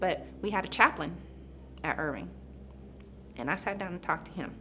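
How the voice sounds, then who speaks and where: A woman is talking. Her pace is moderate. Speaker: police officer. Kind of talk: testimony. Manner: halting.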